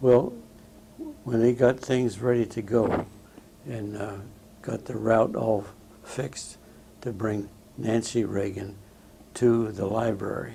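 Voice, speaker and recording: Someone with an American accent speaks at a very slow pace, with long, frequent pauses and fairly even intonation. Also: man, medium pitch for a man. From Southern California. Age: 80s+. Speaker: war veteran. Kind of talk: oral history interview. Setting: veterans home interview. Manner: halting, many fillers.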